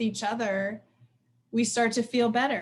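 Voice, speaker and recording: Her animated tone rides on a fairly high pitch as this woman talks at a moderate pace. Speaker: therapist and workshop presenter. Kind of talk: professional training presentation.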